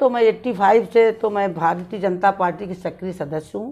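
A woman talks at a moderate pace in a plain, everyday voice with ordinary pitch variation. The background is quiet. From eastern Uttar Pradesh, India (Jaunpur); Uttar Pradesh, India. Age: 60s. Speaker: city mayor, politician. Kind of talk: interview. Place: home room.

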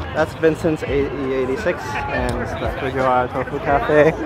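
A man's voice in a dry sound with no echo, over clear background music. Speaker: car vlogger. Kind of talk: casual vlog chat. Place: street. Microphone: phone near.

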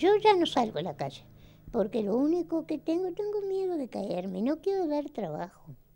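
A woman speaks at a moderate pace. Her pitch swings very widely. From Uruguay. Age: 80s+. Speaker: elderly voter; interviewee. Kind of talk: interview. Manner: halting. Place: home room.

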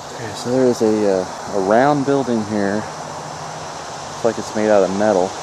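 Noticeable background noise under a man's fairly low-pitched voice. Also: dry sound with no echo. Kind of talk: casual vlog narration. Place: open country. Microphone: phone near.

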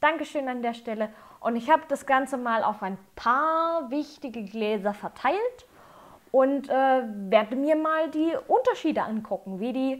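A woman talks in a high pitch at a fairly slow pace, with ordinary pitch variation. The background is quiet. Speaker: whisky reviewer. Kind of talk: tutorial. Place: home room.

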